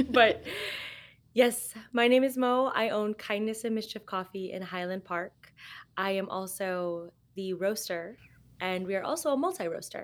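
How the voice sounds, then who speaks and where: Recorded very cleanly against a silent background, a woman with a Californian accent speaks at a fairly slow pace and medium pitch, with ordinary pitch variation. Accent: General American, California. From Los Angeles, US. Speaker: coffee roaster and cafe owner. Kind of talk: casual interview chat.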